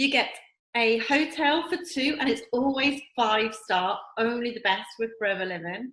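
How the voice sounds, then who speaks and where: A woman with an English accent speaks in an enthusiastic tone. Her high voice has lively intonation. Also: moderate pace. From England. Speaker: network marketing distributor. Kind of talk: promotional video talk.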